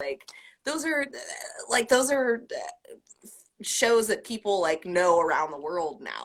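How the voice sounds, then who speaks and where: A woman at a fairly high pitch, very slow pace, with very wide pitch swings, big swings in loudness, and long, frequent pauses. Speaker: burlesque performer and singer. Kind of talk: interview.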